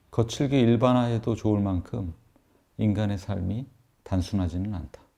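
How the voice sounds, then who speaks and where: A man's calm, dark, mellow voice at a fairly low pitch, fairly slow in pace, with ordinary pitch variation. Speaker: professor and author reading his own book. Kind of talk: audiobook-style reading of an essay, ASMR. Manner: calm, soft, slow reading.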